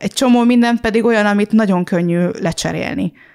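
A woman speaks at a fairly quick pace in a normal speaking voice. Her pitch varies in an ordinary way. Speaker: podcast host and blogger. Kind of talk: casual chat. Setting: living room at home.

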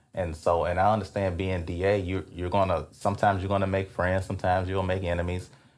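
In a Louisiana accent, a man talks at a very fast pace with a very deep, low pitch. His intonation is monotone and flat. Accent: Louisiana Southern. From Louisiana, Alexandria (Rapides Parish). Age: 30s. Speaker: former prosecutor and DA candidate. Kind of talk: interview. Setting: hotel room.

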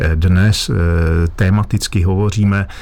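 A man talks with a very deep, low pitch and fairly even intonation. Noticeable background noise sits behind him. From Lachia / Wallachia region, Moravia, Czechia. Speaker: master butcher. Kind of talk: radio advice show interview. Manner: formal.

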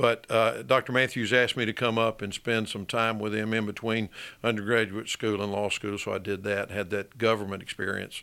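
A man with an Alabama accent talks in a fairly low, flat monotone at a moderate pace. The recording is very clean, with a silent background. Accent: Southern US (Alabama). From Birmingham, Alabama (US South). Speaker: attorney. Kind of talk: interview.

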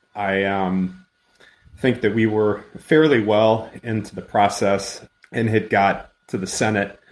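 This man speaks with an American accent at a fairly low pitch. His intonation stays fairly even. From US Midwest, western central Illinois. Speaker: agricultural policy staffer. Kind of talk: casual interview. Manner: halting, with fillers.

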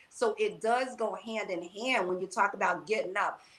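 Noticeable background noise sits behind this woman's voice. She speaks at a moderate pace with an American accent and a fairly high pitch. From New York. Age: 60s. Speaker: fitness and wellness coach. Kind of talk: casual chat.

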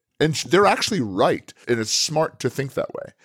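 A man's fairly high voice with vocal fry and very wide pitch swings at a fairly quick pace, on a very clean, dry, close recording with a silent background and no echo. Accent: American. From upstate New York. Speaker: marketing entrepreneur and business coach. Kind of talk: casual interview. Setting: hotel room.

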